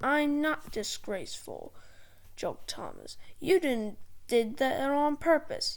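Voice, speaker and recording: A put-on character voice with a high pitch moves at a fairly slow pace. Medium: read story.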